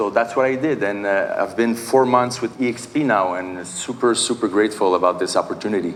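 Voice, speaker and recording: A man speaks with a Quebec accent. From Quebec, Canada. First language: Portuguese. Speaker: real estate agent and investor. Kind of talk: conference panel introduction. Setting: stage with audience. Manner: halting, many fillers.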